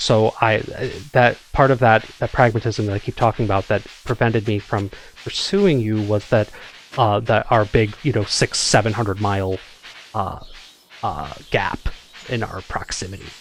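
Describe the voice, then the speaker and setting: Over noticeable background noise, a man with a fairly low pitch and fairly even intonation speaks at a moderate pace, leaving long, frequent pauses. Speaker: gaming YouTuber. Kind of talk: casual chat while gaming. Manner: halting, many fillers and restarts.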